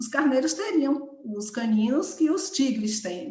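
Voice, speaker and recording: With audible room echo around her, a woman speaks in a high pitch with lively intonation. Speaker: study group leader. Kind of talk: lecture. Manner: fast.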